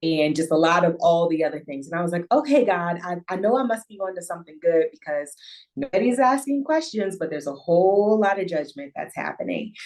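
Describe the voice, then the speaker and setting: Here a woman talks at a medium pitch and a fairly quick pace. Her intonation is lively. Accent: Midwestern US. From US Midwest, Northeast Ohio. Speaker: intimacy and relationship coach. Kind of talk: podcast interview.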